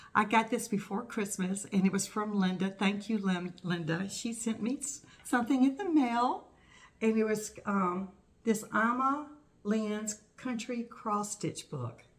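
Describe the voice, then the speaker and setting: This woman's fairly high voice is somewhat breathy and moves with ordinary pitch variation. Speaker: cross stitch vlogger. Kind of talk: casual show-and-tell vlog. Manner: casual, halting with fillers.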